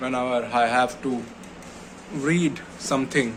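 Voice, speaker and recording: A man talks with monotone, flat intonation. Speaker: vlogger. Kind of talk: personal vlog monologue. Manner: slow; halting.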